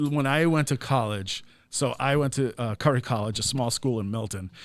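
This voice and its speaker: A man with an ordinary speaking voice and an American accent, at medium pitch, moderate pace and ordinary pitch variation, on a very clean recording with a silent background. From Massachusetts North Shore, near Boston. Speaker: marketing director. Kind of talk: casual chat.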